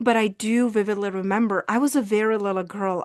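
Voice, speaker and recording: Against a quiet background, a woman of medium pitch with a Czech accent talks at a fairly quick pace with fairly even intonation, the sound dry and close with no echo. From Czech Republic. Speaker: visibility coach and speaker. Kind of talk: personal testimony in interview.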